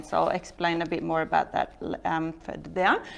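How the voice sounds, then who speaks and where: Her voice fairly low, a woman talks with a Norwegian accent. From Norway. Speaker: entrepreneur. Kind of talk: talk to an audience.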